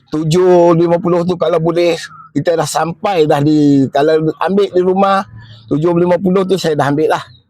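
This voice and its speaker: Noticeable background noise sits behind a man with a high pitch. He keeps a moderate pace and fairly even intonation. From Malaysia, Negeri Sembilan (Kuala Pilah). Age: 60s. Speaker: retiring government driver. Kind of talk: personal testimony at retirement video. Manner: halting, casual.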